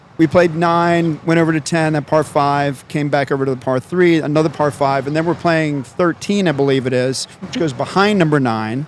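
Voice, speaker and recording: A man's fairly high-pitched voice at a moderate pace, with ordinary pitch variation and noticeable background noise. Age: 60s. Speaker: podcast host, tourism bureau president. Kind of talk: casual interview chat. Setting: on location at a golf tournament.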